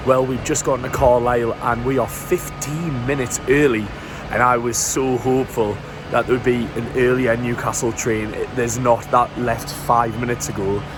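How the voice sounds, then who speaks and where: A man talks at a moderate pace in a medium pitch and a flat monotone. Music plays behind him, and the room echo is audible. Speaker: travel vlogger. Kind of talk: travel vlog narration. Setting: on a train; train station. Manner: whispering.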